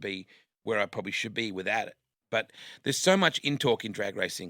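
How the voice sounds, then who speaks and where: A man speaks very fast with an Australian accent, his fairly low voice bright and sharp with ordinary pitch variation. The recording is very clean, with a silent background and a dry, close sound with no echo. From Western Australia (Perth). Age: 50s. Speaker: motorsport commentator. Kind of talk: casual interview chat.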